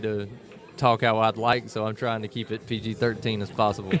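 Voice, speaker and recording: A man with a Southern US accent speaks at a fairly quick pace. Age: 40s. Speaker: pool player and guest commentator. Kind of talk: live commentary. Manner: laid-back.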